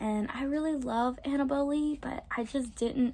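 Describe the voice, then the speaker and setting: A woman with an American accent has a dark, mellow tone and a somewhat breathy sound. Her pitch varies in an ordinary way. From US South, Southern Louisiana. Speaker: book vlogger. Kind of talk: casual vlog.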